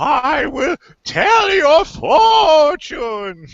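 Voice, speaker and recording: Pitched high, the voice is a put-on character voice. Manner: hokey, cheesy.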